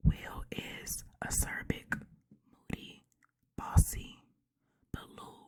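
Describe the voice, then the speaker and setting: A woman whispers. Her tone is relaxed. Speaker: ASMR creator. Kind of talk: reading a book blurb and chatting casually, ASMR style. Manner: soft, relaxed.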